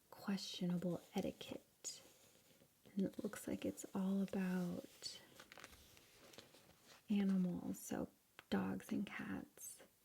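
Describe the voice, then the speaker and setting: Soft-spoken, in an American accent, the speaker goes at a very slow pace with long, frequent pauses. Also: woman. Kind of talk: ASMR magazine flip-through.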